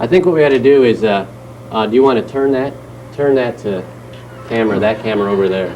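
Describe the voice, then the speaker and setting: Though his pace is very fast, a man at medium pitch makes long, frequent pauses, with ordinary pitch variation, noticeable background noise and audible room echo. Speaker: TV talk show host. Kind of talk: live call-in TV show. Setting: TV studio.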